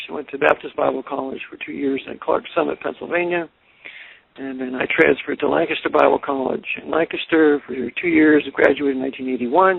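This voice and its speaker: A man with a Californian accent speaks at a fairly quick pace. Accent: General American (Californian). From US West Coast, California Bay Area. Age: 60s. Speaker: author. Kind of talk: radio interview, life story. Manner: hesitant fillers (uh, um).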